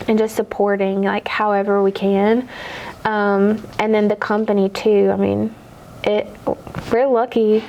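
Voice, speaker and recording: A soft-spoken woman talks at a medium pitch, fairly slowly, with long, frequent pauses. Her intonation is monotone and flat, her loudness very even, and there is noticeable background noise. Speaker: car dealership manager. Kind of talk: casual chat.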